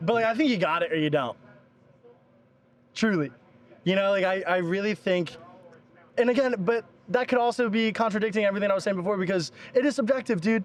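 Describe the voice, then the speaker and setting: A man with an American accent speaks in a high pitch at a very fast pace, though long, frequent pauses break it up. His loudness stays very even and his pitch varies in an ordinary way. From Philadelphia, US Northeast. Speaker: motorsport videographer. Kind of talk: casual interview chat. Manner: animated, casual.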